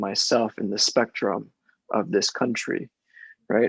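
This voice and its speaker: At a moderate pace, a man talks at medium pitch in a dry, close sound with no echo. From US, Mexican immigrant family. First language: Spanish. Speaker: casting director. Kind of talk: panel discussion. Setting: video call.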